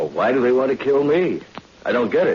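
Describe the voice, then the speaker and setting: A man speaks with noticeable background noise. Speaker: radio drama lead, undercover agent character. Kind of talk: old time radio drama acting.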